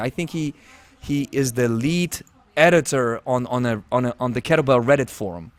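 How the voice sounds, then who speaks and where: A man talks with a non-native accent and lively intonation. The sound is dry and close, with no echo. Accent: noticeable foreign. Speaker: podcast host. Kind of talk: casual interview chat. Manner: halting, with false starts.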